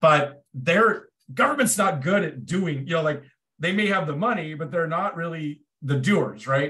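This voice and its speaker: A bright, sharp tone with lively intonation at a moderate pace, with an American accent. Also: man, high pitch for a man. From Portland, Oregon, US Pacific Northwest. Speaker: nonprofit founder. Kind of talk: interview. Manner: halting, many repeated words.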